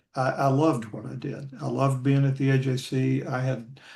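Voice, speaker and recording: Somewhat breathy, a man speaks at a moderate pace and a medium pitch. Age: 60s. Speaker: retired sports columnist. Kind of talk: casual interview. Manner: halting, many repetitions.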